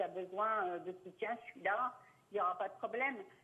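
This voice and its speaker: Speech moves at a moderate pace. Its pitch variation is ordinary. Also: woman. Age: 60s. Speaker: caller. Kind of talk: phone-in consultation.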